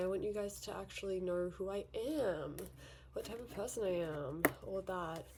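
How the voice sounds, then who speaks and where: Noticeable background noise is present. The woman speaking has an American accent. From Australia, Victoria. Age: young. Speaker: beauty vlogger. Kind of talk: casual chat. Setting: bedroom vanity. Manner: casual, with fillers and repetitions.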